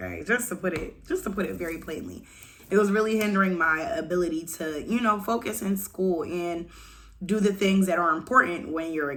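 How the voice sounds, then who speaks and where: In a room with audible echo, a woman with a fairly low pitch talks at a moderate pace in an animated tone, her pitch varying in an ordinary way. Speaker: vlogger. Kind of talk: casual rant to camera. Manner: loud.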